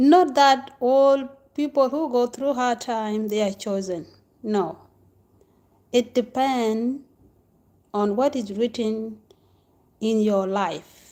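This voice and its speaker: Speaking very slowly with long, frequent pauses, a woman with a non-native accent uses a high pitch, ordinary pitch variation and a dark, mellow tone. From Africa. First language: not English. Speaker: spiritual teacher. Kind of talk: casual monologue. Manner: halting.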